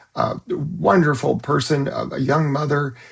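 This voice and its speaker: A man with an American accent, fairly high pitch, vocal fry and a fairly slow pace. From California. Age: 60s. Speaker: psychologist. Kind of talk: direct-to-camera monologue. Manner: hesitant, with frequent fillers.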